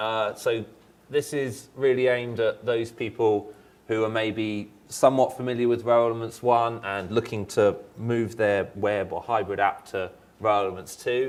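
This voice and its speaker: A man's medium-pitched voice moves at a moderate speed, and his intonation stays fairly even. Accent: British. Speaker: software engineer presenter. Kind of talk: conference presentation. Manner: halting, many fillers.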